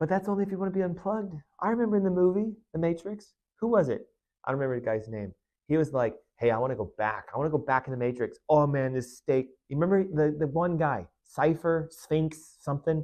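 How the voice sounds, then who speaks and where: Speaking at a very fast pace, a man delivers his words in an animated tone at a fairly high pitch. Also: lively intonation. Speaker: chiropractor / health show host. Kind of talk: podcast monologue.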